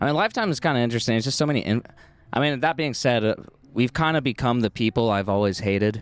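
On a very clean recording with a silent background, a man speaks at a medium pitch. He talks at a very fast pace with very even loudness. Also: ordinary pitch variation, dry, close sound with no echo. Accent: American. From Oregon. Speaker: podcast co-host. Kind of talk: casual chat. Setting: outdoors at a coffee shop courtyard.

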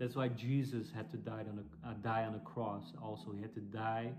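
A Dutch accent marks this man's speech. He talks at a moderate pace. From Netherlands. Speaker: church planter and preacher. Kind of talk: sermon or Bible teaching. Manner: halting, with frequent fillers and repeats.

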